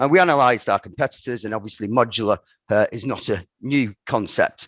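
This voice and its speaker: A man at a medium pitch with a northern English accent, a fairly quick pace and ordinary pitch variation, in a dry, close sound with no echo and a quiet background. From northern England, Ramsbottom, Lancashire. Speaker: company director. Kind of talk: podcast interview. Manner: halting, many repetitions.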